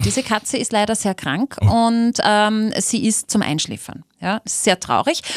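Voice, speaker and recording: Heard with a dry, close sound with no echo, a woman has an ordinary speaking voice, a fairly high pitch and a moderate pace. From Austria, Linz. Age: 30s. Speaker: radio host. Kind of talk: casual chat.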